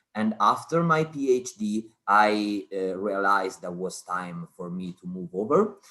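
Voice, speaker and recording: A man talks at a fairly low pitch with lively intonation. His pace is fairly slow. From Italy. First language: Italian. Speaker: cancer researcher. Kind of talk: online talk. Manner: hesitant, many fillers.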